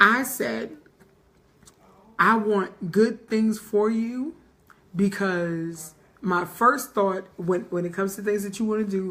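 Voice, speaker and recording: Music plays in the background as a woman speaks at a fairly slow pace with a medium pitch and ordinary pitch variation. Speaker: podcast host. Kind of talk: casual chat. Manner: loud.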